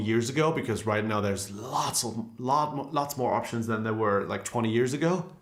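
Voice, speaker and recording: Room echo is audible as a man speaks at a moderate pace with ordinary pitch variation. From Germany. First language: German. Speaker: guitarist and guitar teacher. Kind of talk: live stream Q&A. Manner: casual, conversational.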